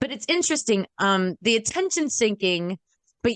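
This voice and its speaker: A loud, animated woman at a moderate pace, fairly high in pitch, with very wide pitch swings, in a dry, close sound with no echo. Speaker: podcast co-host and wedding planner. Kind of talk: casual chat.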